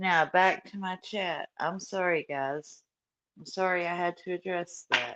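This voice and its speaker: Speaking at a fairly slow pace against a quiet background, a woman with a Southern US accent has a fairly low pitch, a bright, sharp tone, a monotone, flat intonation and big swings in loudness. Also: dry, close sound with no echo. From US South. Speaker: true crime YouTuber. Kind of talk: livestream chat. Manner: laid-back.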